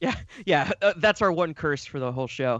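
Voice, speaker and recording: A man with an American accent speaks at a moderate pace and a fairly high pitch. The quiet background and dry, close sound leave no echo. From US Midwest, Cleveland, Ohio. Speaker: Cleveland resident and theme park enthusiast. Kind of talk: casual chat. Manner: hesitant, many fillers.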